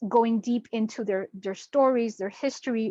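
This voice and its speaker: A normal speaking voice from a woman, fairly high in pitch, at a fairly slow pace with ordinary pitch variation, in a dry, close sound with no echo and a quiet background. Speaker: spiritual teacher. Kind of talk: online class presentation.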